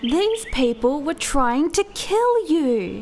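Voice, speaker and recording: A put-on character voice at a very slow pace, with very wide pitch swings and clear background noise. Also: woman, high pitch for a woman. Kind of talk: incantation in rhyme. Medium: short film.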